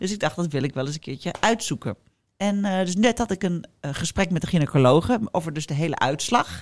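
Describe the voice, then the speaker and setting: A woman speaks at a fairly low pitch with lively intonation. The recording is very clean, with a silent background. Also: fairly quick pace. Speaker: podcast host. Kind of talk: casual chat.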